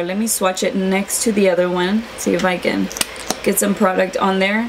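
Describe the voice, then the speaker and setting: A woman is speaking, and noticeable background noise comes through behind her. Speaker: beauty vlogger. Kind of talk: casual product review. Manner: fast.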